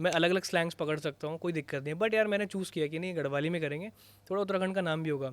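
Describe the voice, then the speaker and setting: This man has an unremarkable speaking voice pitched fairly high. His intonation stays fairly even. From Uttarakhand, Garhwal. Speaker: content creator. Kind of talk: podcast interview. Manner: casual, Hindi-English code-switching.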